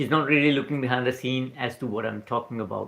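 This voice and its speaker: With an Indian accent, a man speaks at a fairly high pitch with ordinary pitch variation. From India, Punjab. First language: not English. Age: 40s. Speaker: spiritual mindset livestreamer. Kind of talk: live stream talk. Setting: night-time livestream. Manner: casual, halting with fillers.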